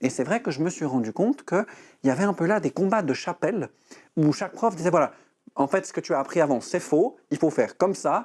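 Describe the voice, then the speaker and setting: A man talks at a very fast pace. His fairly high pitch carries lively intonation. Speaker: breathing and voice coach. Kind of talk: TV interview.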